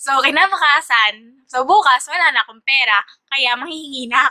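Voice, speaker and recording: Projecting a raised voice, a woman speaks with high pitch, a bright, sharp tone and big swings in loudness. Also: ordinary pitch variation, moderate pace. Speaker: vlogger and teacher. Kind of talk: casual vlog Q&A. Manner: hesitant, many fillers.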